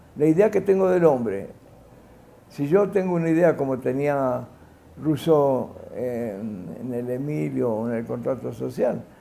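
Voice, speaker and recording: Very wide pitch swings run through the man's fairly slow speech. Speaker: sociologist and educator. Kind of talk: interview answer. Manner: halting, with fillers and self-corrections.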